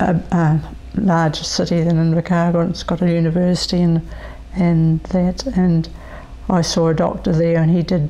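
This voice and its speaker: A woman with a New Zealand accent speaks at a moderate pace and fairly low pitch, in a monotone, flat intonation with very even loudness. Noticeable background noise is present. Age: 70s. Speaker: person living with multiple sclerosis. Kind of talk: interview testimony. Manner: hesitant, many fillers.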